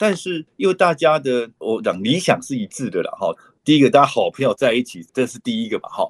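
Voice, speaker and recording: The sound is dry and close with no echo. A man talks at a fairly quick pace with big swings in loudness. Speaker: dentist, author and conservation group founder. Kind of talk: interview conversation. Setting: online call. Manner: frequent hesitation fillers.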